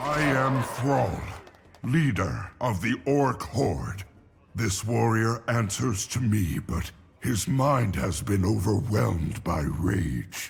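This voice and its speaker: A man performs a put-on character voice. He speaks at a very slow pace. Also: fairly low pitch for a man. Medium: video game.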